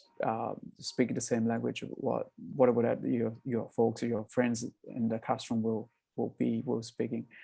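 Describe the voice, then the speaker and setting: A man speaks at a moderate pace with a Southeast Asian accent. His tone is dark and mellow, at a medium pitch. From northern Thailand, Akha hill village. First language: Akha. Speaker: social entrepreneur, coffee business founder. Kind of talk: interview on webinar. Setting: video call webinar. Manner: halting, many repeated words.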